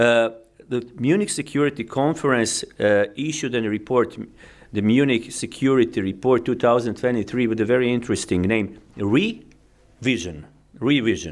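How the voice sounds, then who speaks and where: Speaking with a Croatian accent, a man uses ordinary pitch variation. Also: medium pitch for a man, moderate pace. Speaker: diplomat. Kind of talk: keynote speech. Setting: conference with audience. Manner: halting, many fillers.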